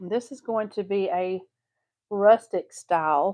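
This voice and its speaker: A woman with a Texas accent, fairly even intonation, and a dry, close sound with no echo. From Southeast Texas. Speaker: craft tutorial host. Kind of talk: live craft tutorial. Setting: live stream. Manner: casual, chatty.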